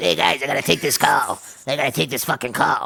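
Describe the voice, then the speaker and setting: This put-on character voice sits at a low-to-middle pitch. The delivery comes at a very fast pace. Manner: mocking.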